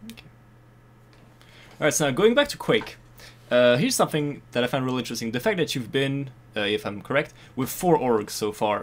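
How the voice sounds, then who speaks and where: A man with a French accent speaks at a fairly quick pace and a medium pitch, his intonation lively. His loudness swings widely, and he takes long, frequent pauses. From France. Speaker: podcast interviewer. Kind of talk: interview.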